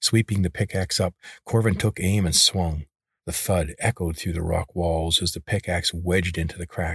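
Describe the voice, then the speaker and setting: Very deep, low, somewhat breathy male speech with fairly even intonation, a dry, close sound with no echo and a very clean recording with a silent background. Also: moderate pace. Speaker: audiobook narrator. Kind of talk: scripted fantasy narration, read aloud in a dramatic, suspenseful storytelling style. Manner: hushed, tense and atmospheric, building suspense as the seed scene unfolds; measured, expressive pacing.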